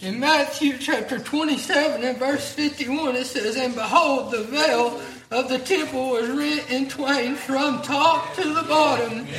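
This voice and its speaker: The words come very slowly, with noticeable background noise underneath. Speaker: church announcer and pastor. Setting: church.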